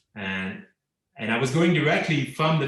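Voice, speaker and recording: A man with a Quebec accent speaks at a moderate pace with ordinary pitch variation. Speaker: cartoonist. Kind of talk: casual interview conversation. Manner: halting, repeats words.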